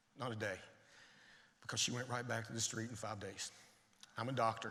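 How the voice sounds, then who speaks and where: In a Tennessee accent, a man with a medium pitch sounds animated, with audible room echo. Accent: Tennessee Southern. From Tennessee, US South. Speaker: addiction medicine physician. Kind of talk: conference talk. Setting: stage with audience.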